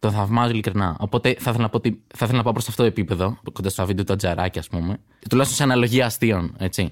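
A man rattles off words at a very fast pace, the recording very clean and the background silent. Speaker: stand-up comedian. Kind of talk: casual interview chat.

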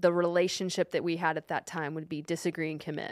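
A woman speaks at a fairly low pitch in a Texan accent. The recording is very clean with a silent background, and the sound is dry and close with no echo. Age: 30s. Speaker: podcast co-host and fitness company co-founder. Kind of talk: casual chat. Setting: studio.

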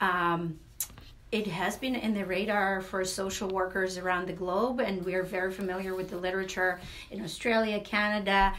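A woman's medium-pitched voice at a moderate pace, fairly even in intonation, with audible room echo and noticeable background noise. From Latvia. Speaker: social work professor and author. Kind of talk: radio interview. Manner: halting, many fillers.

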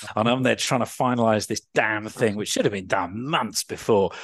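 A man with a southern English accent at a fairly quick pace, against a quiet background. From Surrey, England. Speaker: farmer and former radio journalist. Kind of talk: interview conversation.

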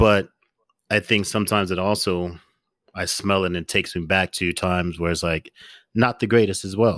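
A man with a very deep, low pitch talks at a fairly quick pace with fairly even intonation and long, frequent pauses, in a dry, close sound with no echo. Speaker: podcast host. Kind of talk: casual chat.

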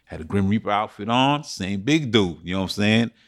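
An American-accented male voice, on a very clean recording against a silent background. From Bronx, New York, Jamaican family. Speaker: panelist. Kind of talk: panel discussion.

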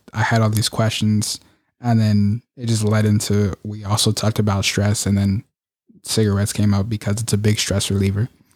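In a dry, close sound with no echo and a very clean recording with a silent background, a man with a fairly low pitch speaks at a fairly quick pace in a monotone, flat intonation. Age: 20s. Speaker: podcast co-host. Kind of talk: casual chat.

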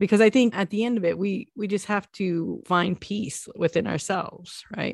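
A woman's medium-pitched voice at a moderate pace, with ordinary pitch variation, a dry, close sound with no echo, and a quiet background. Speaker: podcast host. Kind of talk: casual chat.

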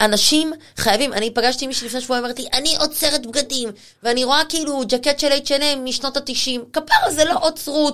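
An animated woman talks fairly quickly in a high pitch, with ordinary pitch variation. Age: 40s. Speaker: personal stylist. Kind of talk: casual chat.

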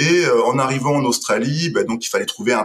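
A man talks at a fairly quick pace. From western France, Deux-Sèvres. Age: 30s. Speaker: entrepreneur. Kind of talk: casual interview.

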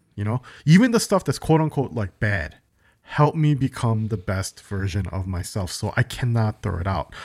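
With an American accent, a man speaks at a moderate pace in a fairly low, somewhat breathy voice and lively intonation, the sound dry and close with no echo and the recording very clean against a silent background. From Chicago, US. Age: 40s. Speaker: podcast co-host. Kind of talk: casual chat.

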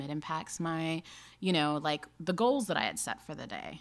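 With an American accent, a woman speaks in a normal speaking voice at a moderate pace, her pitch fairly low. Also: very clean recording, silent background. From Alabama and Kansas, US. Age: 30s. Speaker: cosmetics company co-founder, marketing executive. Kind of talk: casual chat.

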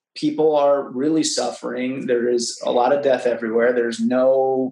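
An ordinary speaking voice, fairly slow in pace, with fairly even intonation. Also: man. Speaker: actor and teacher. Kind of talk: casual interview chat.

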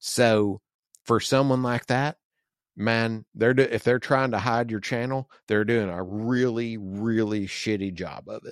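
In a normal speaking voice, a man with an American accent talks at a medium pitch and a fairly slow pace, with fairly even intonation. The background is quiet, and the sound is dry and close with no echo. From US South. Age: 40s. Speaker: podcast host. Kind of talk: casual chat.

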